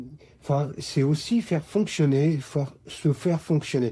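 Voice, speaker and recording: The voice is somewhat breathy with a dark, mellow tone and moves at a fairly slow pace. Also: man. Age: 60s. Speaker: retiree sharing his story. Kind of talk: testimony.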